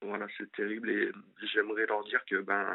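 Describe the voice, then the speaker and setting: A man speaking at a moderate pace. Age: 30s. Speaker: caller. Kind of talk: testimony. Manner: halting.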